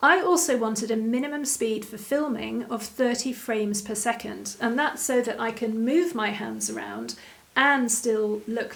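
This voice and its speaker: With hardly any pauses, a woman speaks at a fairly high pitch with ordinary pitch variation. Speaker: online interior design teacher. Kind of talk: tutorial. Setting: home video studio. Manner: slow.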